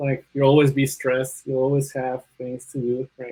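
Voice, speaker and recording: A man speaks with a Spanish accent. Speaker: bioinformatics panelist. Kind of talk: panel discussion. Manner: hesitant, many fillers.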